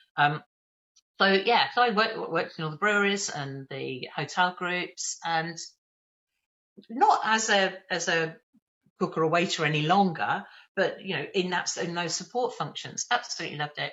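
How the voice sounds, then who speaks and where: A woman with a medium pitch and ordinary pitch variation talks with long, frequent pauses. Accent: slight Birmingham. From England, Birmingham area. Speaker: training company leader. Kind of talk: interview. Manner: fast.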